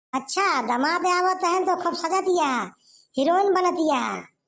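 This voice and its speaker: In a squeaky, cartoonish character voice, someone speaks at an extremely high pitch and a moderate pace. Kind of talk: Awadhi village comedy.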